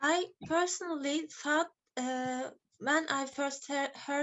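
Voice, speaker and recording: A woman with a non-native accent speaks in a high pitch with ordinary pitch variation. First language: not English. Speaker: English learner. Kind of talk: class participation.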